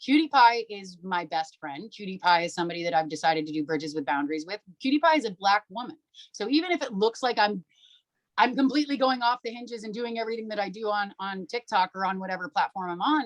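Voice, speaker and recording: The voice is loud and animated, with very wide pitch swings at a very fast pace. It sounds dry and close, with no echo. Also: woman, medium pitch for a woman. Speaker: social media creator. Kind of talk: podcast interview.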